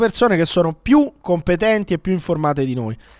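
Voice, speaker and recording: A high-pitched male voice at a moderate pace. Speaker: podcast host. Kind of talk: casual comedic banter. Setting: remote video call.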